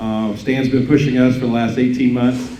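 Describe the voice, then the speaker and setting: Someone with a Midwestern American accent talks at a fairly quick pace amid noticeable background noise and audible room echo. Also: man. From mid-Missouri. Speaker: school district superintendent. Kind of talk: speech to business audience. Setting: breakfast event with audience. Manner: halting, many fillers.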